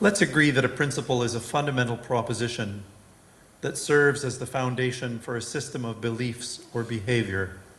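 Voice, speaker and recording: A man with a Canadian accent speaks at a fairly quick pace and medium pitch with ordinary pitch variation and audible room echo. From Western Canada. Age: 60s. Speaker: lay speaker. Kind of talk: sermon.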